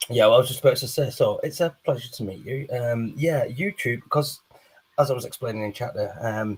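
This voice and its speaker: A man with a northern English accent talks at a moderate pace. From northern England. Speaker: live stream guest, fellow streamer. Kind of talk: casual chat.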